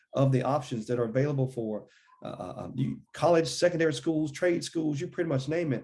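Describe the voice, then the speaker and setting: A man's fairly high, somewhat breathy voice, dark and mellow in tone, with ordinary pitch variation. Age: 40s. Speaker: political candidate. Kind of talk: interview. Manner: halting, with many repeated words.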